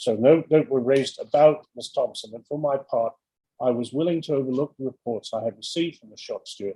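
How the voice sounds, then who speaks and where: A man talks at a fairly quick pace in a fairly high pitch with a dark, mellow tone, his loudness swinging widely and his pitch varying in an ordinary way, all in a dry, close sound with no echo. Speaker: barrister. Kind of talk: courtroom submission. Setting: video call. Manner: fast.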